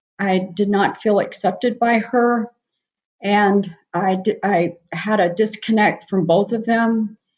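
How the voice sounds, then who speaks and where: Breathy in some degree, a woman with an American accent speaks at a very slow pace and medium pitch, with fairly even intonation and very even loudness. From US Northeast, New Jersey. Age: 70s. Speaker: nurse practitioner and medical missionary. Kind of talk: testimony.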